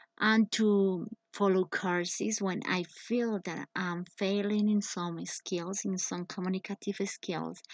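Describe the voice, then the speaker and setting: Spoken with a Spanish accent at a very slow pace, the monotone, flat delivery has a dry, close sound with no echo. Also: woman, medium pitch for a woman. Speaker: english teacher. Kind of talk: personal presentation. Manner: halting.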